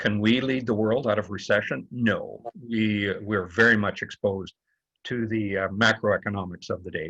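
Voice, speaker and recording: The voice has a bright, sharp tone and a Canadian accent. It moves at a moderate pace with fairly even intonation. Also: man, fairly low pitch for a man. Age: 60s. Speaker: author and former politician. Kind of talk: book talk conversation.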